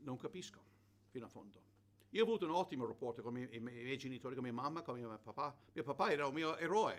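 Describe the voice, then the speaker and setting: The speech comes very fast, with lively intonation. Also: man, medium pitch for a man. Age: 70s. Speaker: preacher. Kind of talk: sermon. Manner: halting with repetitions.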